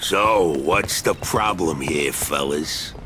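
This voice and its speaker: A man uses a raspy, put-on character voice at a very deep, low pitch. He speaks at a very slow pace over clear background noise. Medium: video game. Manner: crude, profane, bossy.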